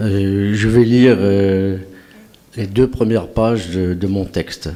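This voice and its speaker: There is noticeable background noise as a man speaks at a very slow pace. His voice sits at a fairly low pitch with fairly even intonation. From Algeria (pied-noir, Sidi Bel Abbès). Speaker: award-winning amateur writer. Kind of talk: acceptance speech. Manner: halting. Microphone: too quiet in his own ears.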